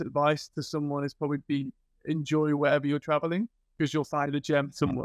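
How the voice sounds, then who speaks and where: A man with an English accent talking very fast, the sound dry and close with no echo. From England. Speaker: podcast host. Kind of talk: casual interview.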